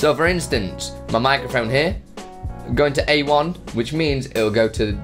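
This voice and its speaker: Music plays clearly in the background. The speaker is a man. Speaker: streaming tutorial creator. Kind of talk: tutorial. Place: home room. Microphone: studio mic.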